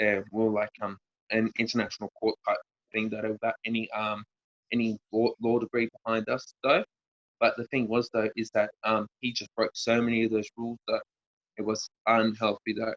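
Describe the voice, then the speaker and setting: This man speaks with an Australian accent. His intonation stays monotone and flat. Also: medium pitch for a man, moderate pace, dry, close sound with no echo. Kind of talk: interview. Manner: halting, many fillers.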